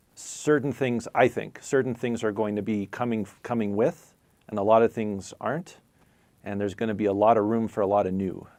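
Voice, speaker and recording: Against a quiet background, a man with an ordinary speaking voice talks at a fairly quick pace, his pitch fairly low and his intonation fairly even. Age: 40s. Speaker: spiritual teacher. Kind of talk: live stream chat.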